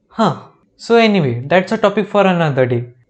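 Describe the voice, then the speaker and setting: With an Indian accent, a man speaks in a high voice at a fairly quick pace, his intonation lively. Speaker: YouTuber reacting to TV shows. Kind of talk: comedic commentary.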